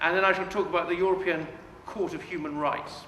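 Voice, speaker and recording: With a raised, projected voice, a high-pitched man speaks with ordinary pitch variation amid audible room echo and noticeable background noise. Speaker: politician. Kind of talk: public speech. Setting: public meeting with audience. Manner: loud.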